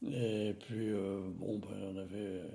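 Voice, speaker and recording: The voice has a dark, mellow tone. Audible room echo can be heard. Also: man. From France, Nevers (Burgundy). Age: 80s+. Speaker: elderly witness of wartime childhood. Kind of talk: life-story interview. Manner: hesitant, many fillers.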